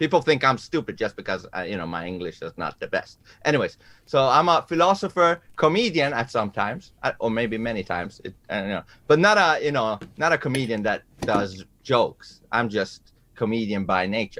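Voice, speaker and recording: A man speaks with a Persian accent in a bright, sharp tone. His pitch swings very widely. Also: medium pitch for a man, moderate pace. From Iran. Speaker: musician and debater. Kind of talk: self-introduction. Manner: halting, many fillers.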